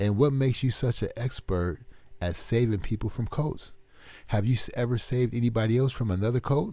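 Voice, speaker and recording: A man's somewhat breathy voice with a dark, mellow tone, on a very clean recording with a silent background. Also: medium pitch for a man, ordinary pitch variation. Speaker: online commentator. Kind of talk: casual commentary monologue. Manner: slow.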